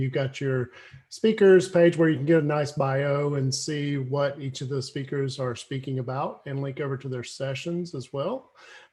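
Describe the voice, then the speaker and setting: Speaking at a moderate pace, a man with a fairly high pitch sounds somewhat breathy, his intonation fairly even. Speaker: conference organizer. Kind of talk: online meetup presentation.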